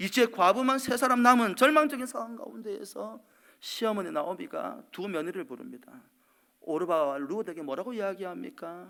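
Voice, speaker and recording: A raised, projected voice with a bright, sharp tone moves at a fairly quick pace through very wide pitch swings, in a very clean recording with a silent background. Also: man. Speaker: pastor. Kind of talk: sermon. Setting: church.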